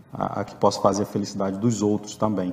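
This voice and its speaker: A man speaks with a fairly low pitch. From Rio de Janeiro, Brazil. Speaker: agricultural auditor and animal scientist. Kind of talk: interview testimony. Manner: halting.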